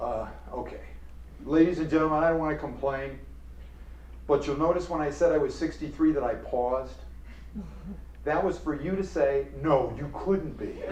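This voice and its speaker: A man speaks at a moderate pace with long, frequent pauses and audible room echo. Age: 60s. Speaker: professor. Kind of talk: lecture. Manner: animated.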